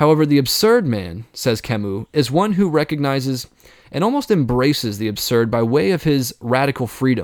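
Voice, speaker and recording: A man talks with a normal speaking voice at medium pitch. His pace is moderate. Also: lively intonation, very clean recording, silent background. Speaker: philosophy podcast host. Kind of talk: solo Q&A monologue.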